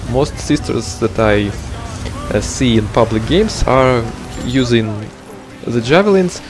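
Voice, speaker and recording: A man with lively intonation at a fairly slow pace, music in the background. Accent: non-native. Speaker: video game guide creator. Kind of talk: gameplay tutorial. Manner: hesitant, frequent filler words.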